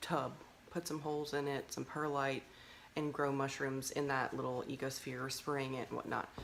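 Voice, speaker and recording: Soft-spoken and very deep, low in pitch, a woman talks at a moderate pace in a monotone, flat intonation. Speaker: mushroom farmer. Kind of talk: casual chat.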